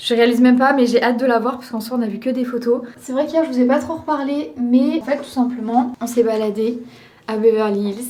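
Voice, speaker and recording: Ordinary pitch variation and a fairly quick pace come through over noticeable background noise and audible room echo. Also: woman. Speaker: vlogger and Pilates influencer. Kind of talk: casual vlog. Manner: soft-spoken.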